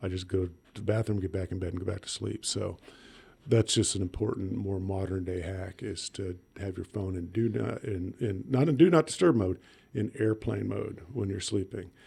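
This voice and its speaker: A somewhat breathy voice with a dark, mellow tone, ordinary pitch variation and a moderate pace. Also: man. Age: 60s. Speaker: emergency room physician. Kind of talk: casual chat.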